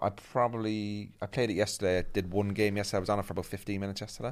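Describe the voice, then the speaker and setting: Very fast talk from a man with a Northern Irish accent, a fairly low pitch and fairly even intonation. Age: 40s. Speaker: comedian. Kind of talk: casual chat.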